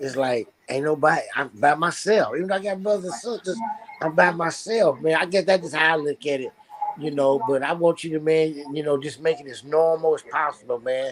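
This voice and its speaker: Amid noticeable background noise, a man talks at a moderate pace with a fairly high pitch and ordinary pitch variation. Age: 60s. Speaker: talk show host. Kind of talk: casual chat. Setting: live online stream.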